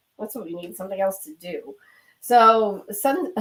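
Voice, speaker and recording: A woman speaks in an unremarkable speaking voice at a medium pitch. Her pitch variation is ordinary. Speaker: podcast co-host. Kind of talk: casual chat.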